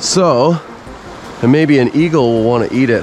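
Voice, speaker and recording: With music in the background and a dry sound with no echo, the voice moves at a fairly slow pace with lively intonation. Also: man. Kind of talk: casual vlog chat. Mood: excited, amazed. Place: waterside. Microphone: phone near.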